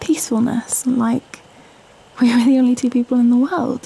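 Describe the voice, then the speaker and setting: A woman with a British accent speaks at a high pitch and a fairly slow pace. Her intonation is monotone and flat, and background noise is noticeable. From Britain. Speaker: ASMR performer. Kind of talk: girlfriend ASMR script reading, intimate late-night talk. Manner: soft, intimate, hesitant, wholesome.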